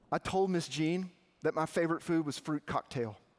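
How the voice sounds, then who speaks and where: Speaking with a Southern US accent, a man has a high pitch and ordinary pitch variation. The recording is very clean, with a silent background. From Arkansas. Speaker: campus minister. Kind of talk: sermon.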